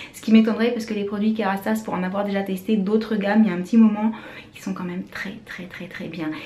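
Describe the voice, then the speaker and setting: With audible room echo and noticeable background noise, a woman speaks at a fairly quick pace. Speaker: beauty vlogger, mother. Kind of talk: casual vlog. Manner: fast.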